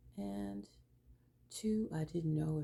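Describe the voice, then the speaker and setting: Warm yet dark and mellow, this woman's very deep, low voice is somewhat breathy and shows ordinary pitch variation. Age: 60s. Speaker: lifestyle vlogger for older women. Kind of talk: personal testimony and advice. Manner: warm, conversational.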